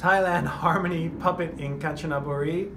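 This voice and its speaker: Over noticeable background noise, the speaker goes at a moderate pace with ordinary pitch variation. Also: man. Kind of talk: casual promotional talk. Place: shop. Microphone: phone near.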